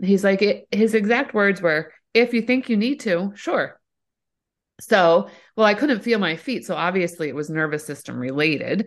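Against a quiet background, a woman with a plain, everyday voice speaks at medium pitch and a moderate pace with lively intonation. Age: 40s. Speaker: entrepreneur and mom with multiple sclerosis. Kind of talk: casual chat.

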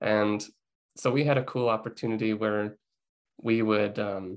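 Over a quiet background, a man with a Canadian accent talks at a fairly low pitch with fairly even intonation, a plain, everyday voice. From Lethbridge, Alberta, Canada. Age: 20s. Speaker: media student and intern. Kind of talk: podcast interview.

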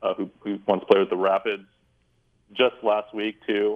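The speaker talks at a moderate pace in an American accent. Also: man. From San Jose, California. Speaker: sports journalist. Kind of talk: sports talk interview.

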